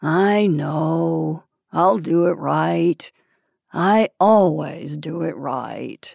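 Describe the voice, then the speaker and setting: A woman's raspy, put-on character voice, very deep and low, at a very slow pace. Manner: drowsy, assured.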